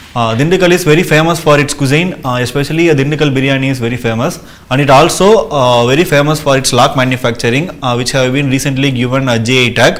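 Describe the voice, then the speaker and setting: There is audible room echo around this man's voice. He talks at a very fast pace in a fairly high pitch. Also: ordinary pitch variation. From Tamil Nadu, India. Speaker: civil service exam candidate. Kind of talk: mock job interview. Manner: hesitant with many uh fillers.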